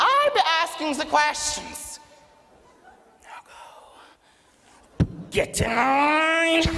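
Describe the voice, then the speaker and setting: A man's put-on character voice, extremely high in pitch, with a very slow pace and long, frequent pauses. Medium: stage play. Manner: barking, bossy.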